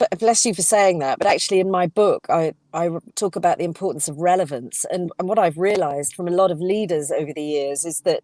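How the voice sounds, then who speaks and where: A dark, mellow voice with a London accent races along at a very fast pace, recorded dry and close with no echo. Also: woman, fairly low pitch for a woman, ordinary pitch variation, hardly any pauses. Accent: southern English (London). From England (London). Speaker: communication coach and author, former actress. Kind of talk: casual interview chat.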